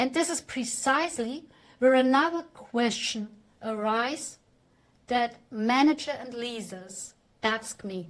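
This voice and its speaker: Speaking with a non-native accent, a woman keeps a fairly slow pace. Her pitch is high and varies in an ordinary way. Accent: non-native English speaker. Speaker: AI consultant giving a talk. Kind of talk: presentation talk. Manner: halting at tricky words.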